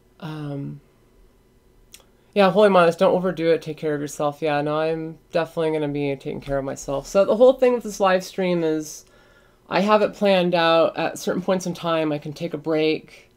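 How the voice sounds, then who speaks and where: Speaking at a fairly quick pace, a woman uses a fairly low pitch with ordinary pitch variation. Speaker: drone hobbyist streamer. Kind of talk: livestream chat. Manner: casual, filler-heavy; fast.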